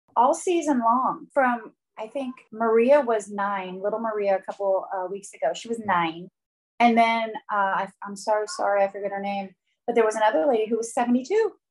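In a plain, everyday voice, a woman talks at a moderate pace, fairly high in pitch with ordinary pitch variation. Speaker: podcast host interviewer. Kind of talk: recap and interview show, casual chat with ad read.

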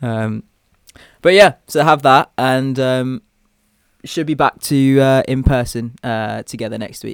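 A man speaks at a medium pitch with a British accent, at a fairly slow pace with long, frequent pauses. The sound is dry and close with no echo, and the pitch variation is ordinary. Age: 20s. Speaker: medical student podcast co-host. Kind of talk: casual chat. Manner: hesitant, many fillers.

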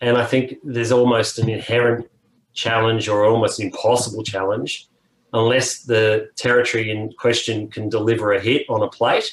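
A man with an Australian accent speaks at a medium pitch and moderate pace. His voice is somewhat breathy, with monotone, flat intonation. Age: 50s. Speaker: music industry executive. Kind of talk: casual interview.

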